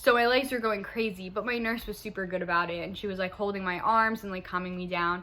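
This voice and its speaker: A woman's bright, sharp, medium-pitched voice rushes at a very fast pace with hardly any pauses. Her intonation is fairly even, and audible room echo is present. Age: 20s. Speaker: vlogger. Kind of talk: personal story. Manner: chatty.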